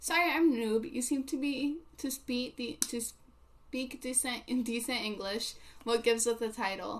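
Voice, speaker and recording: A woman with a non-native accent speaks at a high pitch and a fairly slow pace. Her pitch variation is ordinary, and noticeable background noise is heard. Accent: non-native English, mispronounces words. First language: not English. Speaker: livestreamer. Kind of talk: casual chat with live chat readers. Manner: halting, many fillers.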